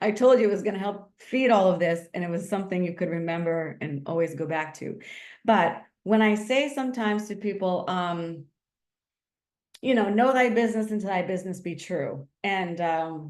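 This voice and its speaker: In a room with audible echo, a woman talks in an animated tone at a medium pitch with ordinary pitch variation. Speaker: marketing instructor. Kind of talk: lecture. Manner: fast.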